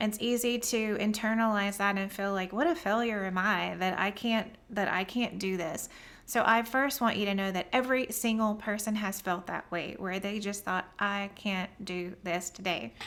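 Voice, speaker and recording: With a Southern US accent, a woman talks at a moderate pace and hardly pauses. Her pitch is medium, and her intonation fairly even. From US South, near the Gulf Coast. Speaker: business coach. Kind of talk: live stream talk to viewers. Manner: casual, conversational.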